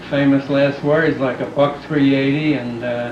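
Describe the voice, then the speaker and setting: With a New York accent, a man speaks at a fairly slow pace in a fairly high pitch and a monotone, flat intonation, amid noticeable background noise and audible room echo. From New York, Brooklyn. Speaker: family member being interviewed. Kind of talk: family oral history interview.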